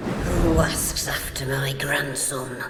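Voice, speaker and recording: A raspy put-on character voice at a low-to-middle pitch comes through a clear echo and loud background noise. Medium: machinima.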